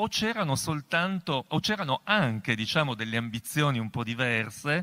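On a very clean recording against a silent background, a man speaks with very wide pitch swings. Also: medium pitch for a man, moderate pace. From Asti, Piedmont. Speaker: professor and moderator. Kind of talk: moderated public discussion. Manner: halting.

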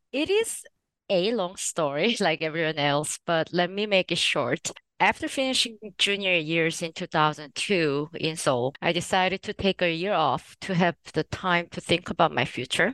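A woman with a fairly low pitch and fairly bright tone speaks at a moderate pace with lively intonation, in a dry, close sound with no echo.

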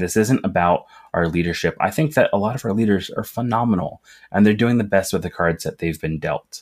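With ordinary pitch variation and a fairly low pitch, a man speaks in an unremarkable speaking voice. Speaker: union organizer, retail worker. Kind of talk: interview.

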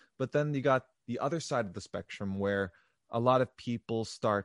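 A man with a normal speaking voice talks at medium pitch with ordinary pitch variation, in a dry, close sound with no echo and a quiet background. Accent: American. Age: 20s. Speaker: R&B singer-songwriter. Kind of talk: casual interview chat.

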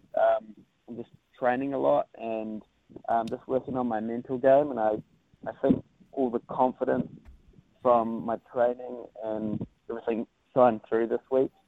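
With a New Zealand accent, the speaker keeps a fairly even intonation at a moderate pace, pausing long and often. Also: man, medium pitch for a man. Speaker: surfer, national champion. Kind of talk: casual interview.

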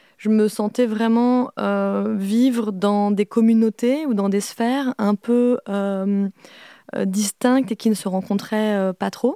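Speaking very slowly, a woman uses a fairly high pitch, a dark, mellow tone and fairly even intonation. The recording is very clean, with a silent background and a dry, close sound with no echo. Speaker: video artist and author. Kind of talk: recorded interview, reflective talk.

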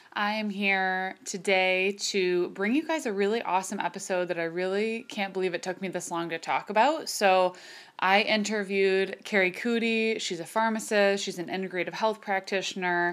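With hardly any pauses, a woman talks at a moderate pace in a normal speaking voice of medium pitch and ordinary pitch variation, on a very clean recording with a silent background. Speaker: podcast host, chiropractor. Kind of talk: casual interview chat.

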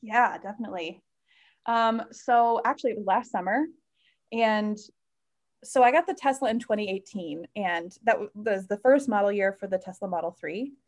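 In a normal speaking voice, a woman with an American accent talks at a moderate pace, her fairly high pitch moving with ordinary variation. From US Midwest, Chicago northwest suburbs. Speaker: solo car camper. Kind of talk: casual interview chat.

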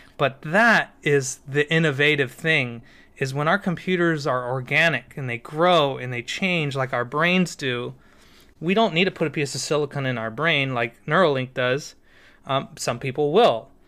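A man with an American accent talks at a moderate pace, his pitch fairly high and his tone bright and sharp. The recording is very clean, with a silent background. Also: ordinary pitch variation. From US West Coast, San Diego. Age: 30s. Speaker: mycologist and bitcoin developer. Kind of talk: casual interview chat.

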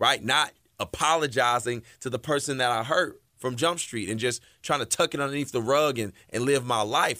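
A man's bright, sharp, animated voice at medium pitch, moderate in pace with ordinary pitch variation, on a very clean recording with a silent background. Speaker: radio host and motivational speaker. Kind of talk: motivational radio talk. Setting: radio studio. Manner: energetic.

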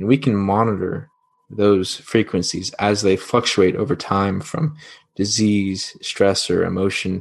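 Against a quiet background, a man speaks fairly slowly at a fairly low pitch with ordinary pitch variation. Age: 20s. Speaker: space industry entrepreneur. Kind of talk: podcast interview. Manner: halting, many fillers.

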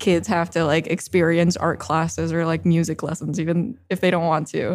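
A woman talks at a moderate pace with hardly any pauses. Her fairly low voice carries vocal fry. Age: 20s. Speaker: developer advocate. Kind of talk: casual chat. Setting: conference recording.

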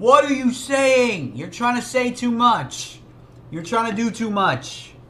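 A man's raised, projected voice at an extremely high pitch, very slow in pace, with ordinary pitch variation and noticeable background noise. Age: 30s. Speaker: music reaction youtuber. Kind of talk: casual reaction commentary. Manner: animated.

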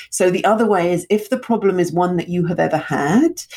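Ordinary pitch variation in a British accent. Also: woman. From England, London (born in Russia). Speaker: storytelling coach and speaker. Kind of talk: interview conversation.

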